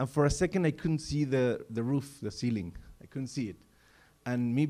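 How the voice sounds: The clip features a natural reading voice.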